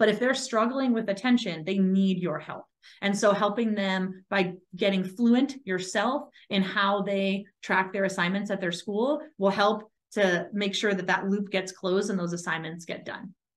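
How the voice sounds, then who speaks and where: Her pitch moves up and down in an ordinary way. The woman talks at a moderate pace. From Massachusetts. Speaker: school administrator. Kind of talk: webinar presentation. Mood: warm, explanatory. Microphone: video call.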